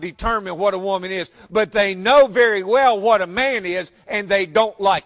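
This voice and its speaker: A man with a high voice and a Southern US accent, at a moderate pace with ordinary pitch variation. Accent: Southern American. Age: 60s. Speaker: pastor. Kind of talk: sermon. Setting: church.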